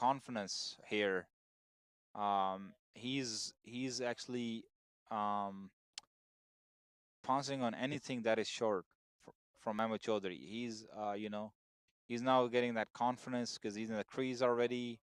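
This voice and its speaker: A man at medium pitch, fairly slow with long, frequent pauses, fairly even intonation, and a dry, close sound with no echo in a very clean recording with a silent background. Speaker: cricket commentator. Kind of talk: live commentary. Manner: loud; halting.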